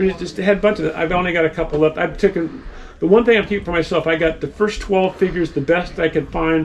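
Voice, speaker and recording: A very fast, high-pitched male voice with fairly even intonation amid noticeable background noise. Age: 70s. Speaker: toy dealer. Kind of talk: casual chat.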